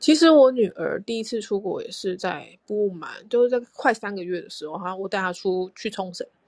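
In an unremarkable speaking voice, a woman with a fairly high pitch talks at a moderate pace, her intonation lively and her loudness swinging widely. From Taiwan. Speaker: podcast co-host, expectant mother. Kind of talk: casual chat.

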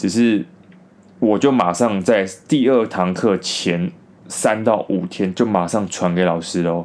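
A man speaks in a Taiwanese accent. His intonation is lively. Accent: Taiwanese Mandarin. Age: 20s. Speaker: podcaster. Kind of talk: storytelling monologue.

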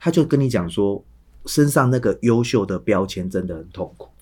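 A man's fairly low voice with lively intonation. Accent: Taiwanese. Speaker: high school English teacher. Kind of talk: casual chat.

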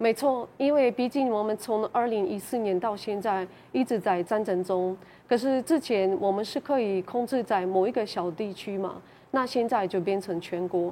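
Speaking at a moderate pace, a woman with a fairly high pitch and a dark, mellow tone uses ordinary pitch variation. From Ukraine. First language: Ukrainian or Russian (speaking Chinese). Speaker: Ukrainian resident of Taiwan. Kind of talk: panel interview. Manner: halting.

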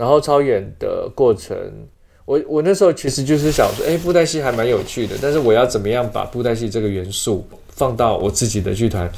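In an ordinary speaking voice, a man talks at a medium pitch with lively intonation. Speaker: theatre actor and director. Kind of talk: interview.

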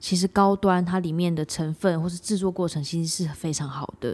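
Fairly low for a woman, her dark, mellow voice moves at a fairly quick pace with ordinary pitch variation on a very clean recording over a silent background. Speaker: podcast co-host. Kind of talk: casual chat.

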